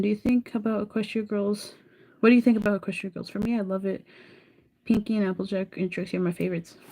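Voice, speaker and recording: In a dark, mellow tone, a woman talks very fast at a medium pitch with monotone, flat intonation. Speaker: live streamer. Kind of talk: casual chat.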